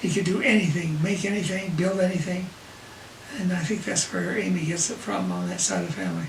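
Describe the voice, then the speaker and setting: The man talks at a fairly quick pace, with audible room echo and noticeable background noise. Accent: American. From Utah, Salt Lake City. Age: 80s+. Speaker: grandfather telling life story. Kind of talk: family storytelling. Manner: halting.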